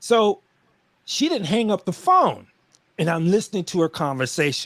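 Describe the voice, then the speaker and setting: A man's high, animated voice with lively intonation at a moderate pace. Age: 50s. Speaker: live stream guest. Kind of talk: casual chat.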